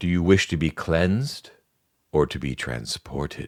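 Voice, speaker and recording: A man speaks in a put-on character voice, pitched very deep and low, with lively intonation at a moderate pace. The sound is dry and close with no echo, on a very clean recording with a silent background. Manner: calm, polished, eerie.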